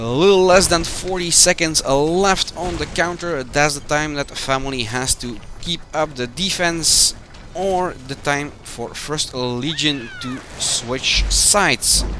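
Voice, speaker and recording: At a very slow pace, a man speaks at a fairly high pitch with ordinary pitch variation, and noticeable background noise is present. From Belgium. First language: Dutch. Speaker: game community manager and match commentator. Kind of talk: live esports commentary. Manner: hesitant, with filler sounds.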